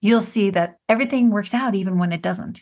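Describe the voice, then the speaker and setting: A woman speaks in a somewhat breathy voice with ordinary pitch variation over a quiet background. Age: 40s. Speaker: podcast host. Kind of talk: monologue.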